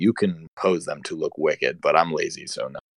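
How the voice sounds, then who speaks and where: A man with a Pennsylvania accent talks at a fairly quick pace, the sound dry and close with no echo against a quiet background. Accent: Pennsylvania American. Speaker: podcast co-host. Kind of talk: casual chat.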